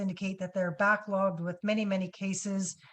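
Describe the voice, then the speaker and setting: A woman with a medium-pitched voice talks over a quiet background. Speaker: webinar moderator. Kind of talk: webinar Q&A. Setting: video call. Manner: trying to speak loudly.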